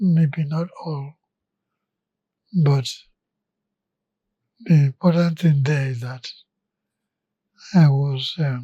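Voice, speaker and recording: A man speaks at a very slow pace with long, frequent pauses. His dark, mellow voice is somewhat breathy and fairly high in pitch. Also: fairly even intonation. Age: 80s+. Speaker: retired engineer and oil executive. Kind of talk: interview.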